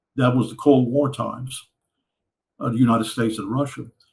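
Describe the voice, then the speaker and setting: A man speaks at a medium pitch in a monotone, flat intonation. His voice is somewhat breathy. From Louisiana, USA. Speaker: Cold War Air Force veteran. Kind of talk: interview answer.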